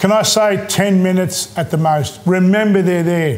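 A high-pitched male voice with an Australian accent and ordinary pitch variation. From Australia, Maltese background. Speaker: chef. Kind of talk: cooking tutorial. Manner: casual, halting with fillers. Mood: warm, chatty, encouraging. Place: kitchen. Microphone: lapel.

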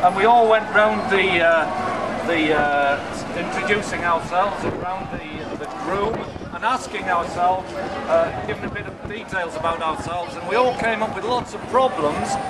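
A man speaks at a moderate pace. Loud background noise runs under his voice. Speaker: street preacher. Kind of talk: street preaching. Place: street. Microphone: camera far.

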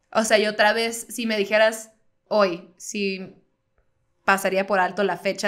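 A woman with fairly even intonation against a quiet background. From Baja California, Mexico (Mexicali); Baja California, Mexico. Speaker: comedian; podcast co-host. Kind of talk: casual chat. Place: studio. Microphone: studio mic.

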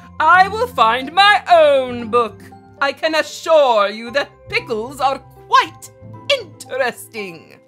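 Putting on a character voice, a woman speaks at a very slow pace while faint music plays in the background. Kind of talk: picture book read-aloud. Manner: grumpy, pompous, increasingly loud.

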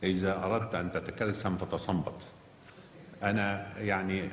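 A man speaking at a very slow pace, with audible room echo and light background noise. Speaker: guest. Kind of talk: public talk. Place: hall. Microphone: podium.

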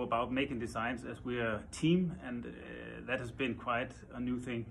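Light background noise sits behind a man with a Danish accent who speaks at a moderate pace with vocal fry. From Denmark. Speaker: furniture designer. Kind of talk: interview. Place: office. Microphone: phone near.

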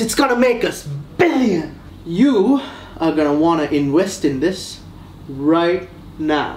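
A woman speaks very slowly at a fairly low pitch. The room echo is audible, and there is light background noise. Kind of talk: scripted comedic dialogue. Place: home room.

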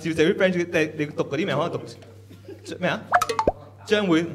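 A man speaks at a fairly quick pace with a fairly high pitch. There is faint background noise.

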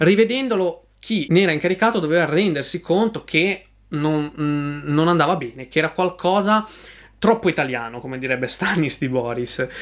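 A man with a fairly high pitch speaks at a moderate pace with lively intonation. The background is quiet. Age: 20s. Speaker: YouTube film reviewer. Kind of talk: film review monologue. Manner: hesitant, many fillers and repetitions. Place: home room.

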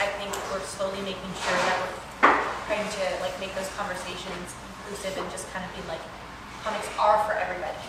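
A woman speaks with audible room echo. Loud background noise fills the recording. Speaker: panelist. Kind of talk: panel discussion answer. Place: hall. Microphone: camera far.

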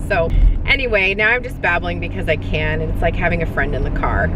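A woman speaks at a fairly quick pace, the sound dry with no echo but with noticeable background noise. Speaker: vlogger. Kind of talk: casual vlog chat. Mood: chatty, laughing, candid. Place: car. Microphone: phone near.

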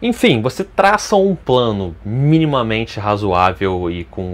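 This man's fairly low voice moves at a fairly slow pace with lively intonation. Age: 30s. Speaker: fitness youtuber. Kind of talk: casual vlog. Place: home room. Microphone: lapel.

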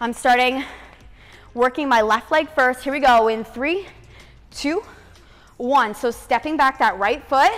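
Pitched high, a woman talks at a fairly slow pace with ordinary pitch variation. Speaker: fitness instructor. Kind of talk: workout instruction cues. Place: home room.

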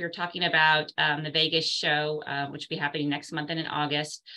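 Very fast and bright with a sharp edge, a woman speaks at a very deep, low pitch. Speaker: round table host. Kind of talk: livestream panel hosting talk. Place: home room. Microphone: video call.

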